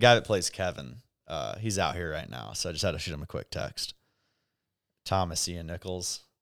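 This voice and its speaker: A man with a very deep, low pitch speaks with vocal fry and lively intonation at a moderate pace. There are long, frequent pauses, and the recording is very clean with a silent background. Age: 20s. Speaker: event promoter. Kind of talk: casual chat.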